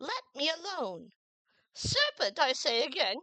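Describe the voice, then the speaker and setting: A woman puts on a squeaky, high-pitched character voice with very wide pitch swings, going at a fairly slow pace. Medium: read story. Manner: suspicious, complaining.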